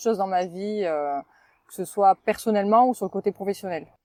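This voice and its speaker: Speaking in a southwestern French accent, a woman has a medium pitch, a dark, mellow tone and ordinary pitch variation. Her fairly quick delivery comes through a dry, close sound with no echo. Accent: southwest French. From southwest France, Toulouse area. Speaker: spa sales trainer. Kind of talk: podcast interview. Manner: hesitant, many fillers.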